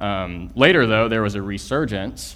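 Speaking at a moderate pace with an American accent, a man with a fairly low pitch shows vocal fry and ordinary pitch variation. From Texas, Houston area. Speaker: church planter, guest preacher. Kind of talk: sermon. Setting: church.

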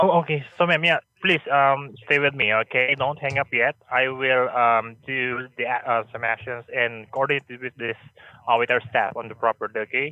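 Male speaker, a normal speaking voice, medium pitch, moderate pace and fairly even intonation. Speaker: hotel staff on phone. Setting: phone call.

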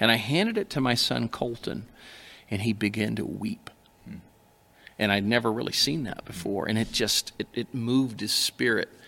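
A man speaks at a moderate pace with long, frequent pauses and ordinary pitch variation. His tone is bright and sharp, with vocal fry. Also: medium pitch for a man. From Alaska. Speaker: pastor. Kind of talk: casual chat.

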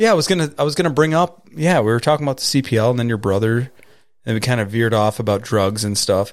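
Talking very fast, a man with an American accent uses lively intonation. His pitch sits in the medium range. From New York. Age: 30s. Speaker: podcast host. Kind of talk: casual chat.

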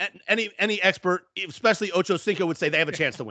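Very fast and raised, a man's high-pitched, projected voice has a bright, sharp tone and ordinary pitch variation. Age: 50s. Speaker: sports betting podcast co-host. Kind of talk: casual chat.

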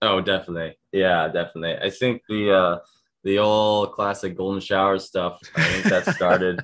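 Against a quiet background, a man talks with a plain, everyday voice. His pitch is fairly low and his intonation fairly even. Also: moderate pace. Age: 20s. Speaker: professional wrestler. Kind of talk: interview.

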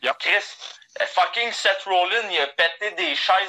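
A man with a high pitch speaks at a very slow pace against noticeable background noise. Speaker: sports podcast co-host. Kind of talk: casual chat.

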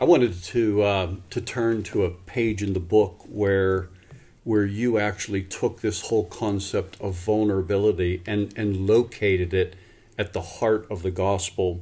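Somewhat breathy, with a dark, mellow tone and fairly low pitch, a man speaks at a fairly slow pace with fairly even intonation. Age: 50s. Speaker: podcast host, pastor ministry. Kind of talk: interview conversation.

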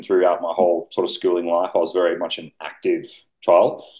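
A fairly quick pace in an Australian accent. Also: man. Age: 20s. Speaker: bodybuilding coach. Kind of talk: casual chat.

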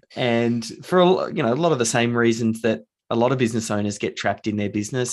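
This man has an Australian accent. His recording is very clean and the background is silent. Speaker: author and business founder. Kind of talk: casual interview.

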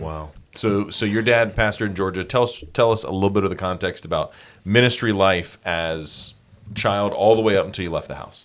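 A man speaks at a fairly quick pace in a fairly low pitch with fairly even intonation. It is a normal speaking voice. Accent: American. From South Carolina. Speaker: church podcast host. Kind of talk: casual interview. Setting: podcast studio.

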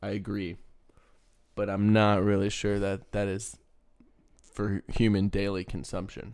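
At a fairly slow pace, a man with a fairly low pitch speaks in a flat monotone, pausing long and often. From Texas. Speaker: podcast co-host. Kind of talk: casual chat.

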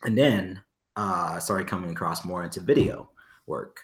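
Very deep, low male speech with rather level intonation. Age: 20s. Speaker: dancer, photographer and former Marine. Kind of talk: casual interview.

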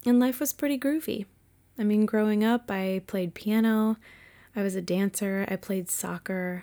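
A woman with an American accent and a fairly high pitch. Her tone is dark and mellow. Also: ordinary pitch variation, moderate pace. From Massachusetts. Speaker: podcast host. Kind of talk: personal storytelling monologue. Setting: home bedroom.

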